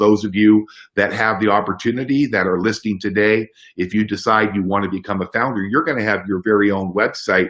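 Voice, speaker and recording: A man with a medium pitch talks in a quiet setting. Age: 60s. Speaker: home business promoter. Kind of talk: sales pitch. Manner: animated.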